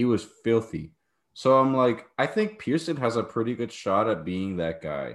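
A man talks at a moderate pace in a medium pitch, with lively intonation and an unremarkable speaking voice. The recording is very clean, with a silent background. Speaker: podcast host. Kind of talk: casual sports chat.

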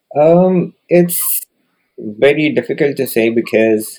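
The man's voice has a dark, mellow tone. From India. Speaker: tech business owner. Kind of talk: interview.

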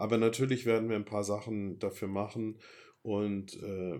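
Fairly even intonation at a moderate pace on a very clean recording with a silent background. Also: man. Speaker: podcast host planning a sailing voyage with family. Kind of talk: casual chat.

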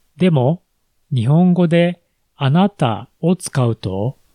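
Very slow male voice, dark and mellow in tone, with lively intonation and a dry, close sound free of echo. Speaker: Japanese language teacher, podcast host. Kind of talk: language lesson podcast. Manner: slow, clear for learners.

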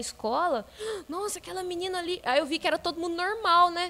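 A woman talks very fast in a raised, projected voice. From Minas Gerais, Brazil. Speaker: churchgoer guest. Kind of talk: casual chat. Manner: animated.

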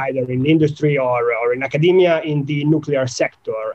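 This man's voice sits fairly high in pitch, with ordinary pitch variation at a moderate pace. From Italy. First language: Italian. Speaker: nuclear engineering researcher. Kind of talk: technical interview. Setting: video call. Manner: halting, frequent fillers.

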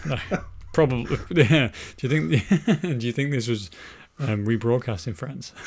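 The speaker's voice is somewhat breathy and lively in intonation, moving at a fairly slow pace with long, frequent pauses, on a very clean recording with a silent background. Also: man, medium pitch for a man. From Wales. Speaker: podcast host. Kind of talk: casual chat.

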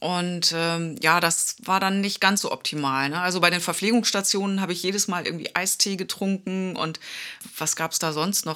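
Bright and sharp in tone, a woman speaks at medium pitch and a fairly quick pace. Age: 50s. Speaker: podcast co-host with type 1 diabetes. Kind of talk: casual chat.

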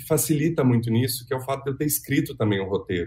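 A man speaks very fast in a fairly high pitch. His voice is somewhat breathy, with ordinary pitch variation. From Minas Gerais, Brazil (Belo Horizonte). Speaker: actor and theatre director. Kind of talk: interview.

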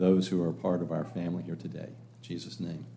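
Very deep and low in pitch, a man speaks at a moderate pace with a dark, mellow tone. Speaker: church leader. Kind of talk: church announcements. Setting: church with congregation.

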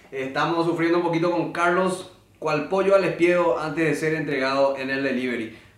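Over noticeable background noise and audible room echo, a man with a fairly high pitch speaks at a fairly quick pace with fairly even intonation. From Paraguay. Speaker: podcast host, musician. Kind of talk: casual chat.

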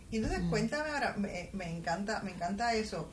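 Audible room echo and noticeable background noise surround a woman who talks at a moderate pace. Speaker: podcast host, entrepreneur and finance educator. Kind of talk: interview.

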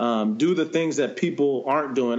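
A man with an American accent talks in an ordinary speaking voice at a moderate pace, with ordinary pitch variation. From San Diego, California. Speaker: professional baseball player. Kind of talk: interview.

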